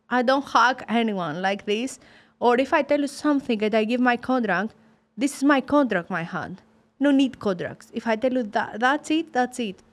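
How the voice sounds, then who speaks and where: In a very clean recording with a silent background, a woman with a Greek accent speaks at a moderate pace in a high voice. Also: ordinary pitch variation. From Greece, Sparta. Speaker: professional boxer. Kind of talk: interview.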